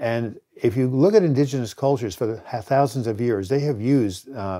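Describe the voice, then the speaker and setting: A man's dark, mellow voice moves at a moderate pace with ordinary pitch variation in a very clean recording with a silent background. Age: 70s. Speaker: author and mental health educator. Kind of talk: educational monologue. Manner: frequent filler hesitations.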